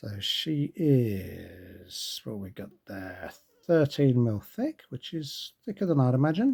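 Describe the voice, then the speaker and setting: A soft-spoken, somewhat breathy man's voice, fairly high and dark and mellow in tone, with very wide pitch swings, big swings in loudness and a very slow pace. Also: dry, close sound with no echo. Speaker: watch reviewer. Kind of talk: product review with unboxing. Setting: indoors at night, home recording. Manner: quiet, talking softly.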